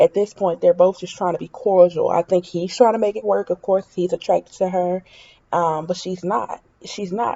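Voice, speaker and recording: A normal speaking voice with fairly even intonation at a moderate pace. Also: woman, medium pitch for a woman. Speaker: reality TV commentator. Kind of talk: casual opinion vlog.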